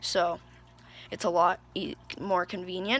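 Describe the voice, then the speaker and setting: The woman's voice has a bright, sharp tone. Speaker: amphibian and reptile keeper. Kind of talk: casual pet care talk to camera. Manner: stuttering, hesitant.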